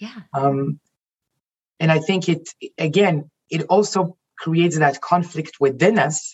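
The voice is somewhat breathy and very slow, broken by long, frequent pauses. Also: woman, fairly low pitch for a woman, ordinary pitch variation. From Israel. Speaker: life coach and executive. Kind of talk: casual interview chat.

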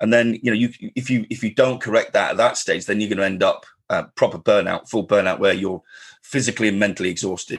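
Speaking at a fast pace, a man has a slightly husky edge and fairly even intonation. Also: fairly low pitch for a man.

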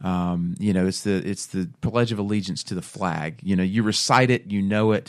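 Against a quiet background, a man with a plain, everyday voice and a fairly low pitch speaks at a moderate pace with ordinary pitch variation and hardly any pauses. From US South. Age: 30s. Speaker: radio host. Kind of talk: faith-based radio talk. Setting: radio studio.

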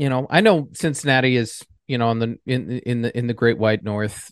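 Against a quiet background, a man with an American accent talks at a moderate pace with ordinary pitch variation, in a dry, close sound with no echo. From New York. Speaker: sports podcast co-host. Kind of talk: casual chat.

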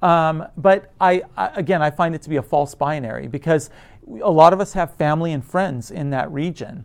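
A normal speaking voice from a man with an American accent, fairly high in pitch, at a moderate pace. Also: ordinary pitch variation. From United States. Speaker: theatre professor. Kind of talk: conversational interview.

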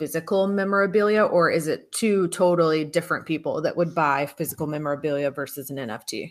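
A woman speaks at a fairly quick pace in a normal speaking voice, her pitch fairly low with ordinary variation. The recording is very clean, with a silent background. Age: 30s. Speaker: podcast host. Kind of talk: interview.

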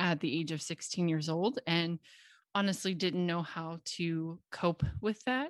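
A woman speaks with a Midwestern American accent. The sound is dry and close with no echo, over a quiet background. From US Midwest, Cincinnati, Ohio. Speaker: confidence and sales coach, podcast host. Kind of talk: solo podcast monologue.

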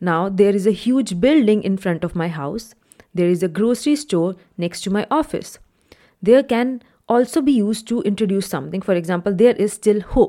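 At a moderate pace, the voice carries a dark, mellow tone. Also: woman, medium pitch for a woman, lively intonation. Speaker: English language coach. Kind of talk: lesson / tutorial.

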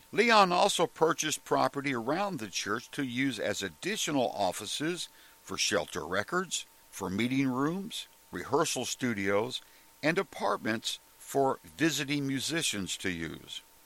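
With an American accent and a bright, sharp tone, this speaker talks fairly slowly, using very wide pitch swings and vocal fry. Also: man, fairly high pitch for a man. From Oklahoma, Tulsa. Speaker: podcast host. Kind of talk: scripted narration.

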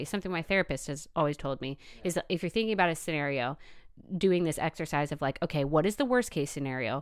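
A woman at a very fast pace, fairly low in pitch with ordinary pitch variation, on a very clean recording with a silent background. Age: 20s. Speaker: Instagram influencer. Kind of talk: casual chat. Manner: laughs often.

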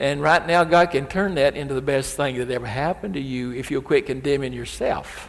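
A man with a fairly high pitch talks at a fairly quick pace, his pitch varying in an ordinary way. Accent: Southern US. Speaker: preacher. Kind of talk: sermon. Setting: church. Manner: emphatic.

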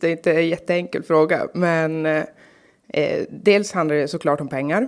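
In a very clean recording with a silent background, a woman with a normal speaking voice and fairly low pitch talks at a fairly slow pace with hardly any pauses. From Norrbotten, northern Sweden (Karlsborg near Kalix). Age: 30s. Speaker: local politician. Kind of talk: interview.

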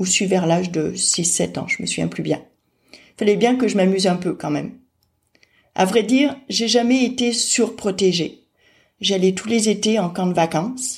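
A somewhat breathy woman's voice at medium pitch, ordinary pitch variation, a fairly slow pace and long, frequent pauses. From France. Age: 40s. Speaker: person with hydrocephalus sharing her story. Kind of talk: personal testimony narration.

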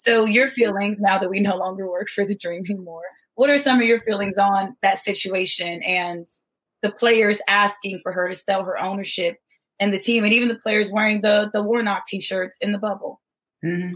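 A woman talks at a moderate pace with fairly even intonation and a medium pitch. She has an unremarkable speaking voice. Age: 30s. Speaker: guest co-host, former basketball player and engineer. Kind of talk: casual interview chat.

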